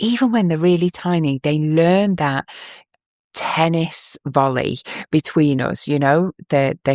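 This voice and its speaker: A woman with an English accent speaks at a very deep, low pitch in a warm tone. The sound is dry and close, with no echo. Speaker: parenting podcast host. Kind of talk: podcast monologue, advice.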